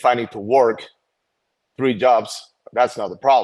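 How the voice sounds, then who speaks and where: A man with a Venezuelan accent at a moderate pace, in a very clean recording with a silent background. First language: Spanish. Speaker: activist parent. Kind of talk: casual chat. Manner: halting.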